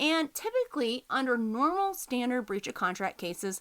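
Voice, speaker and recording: In a Texas accent, a woman with a high pitch and a bright, sharp tone talks at a fairly quick pace on a very clean recording with a silent background. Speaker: podcast host, business lawyer. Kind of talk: educational podcast talk. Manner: casual, conversational.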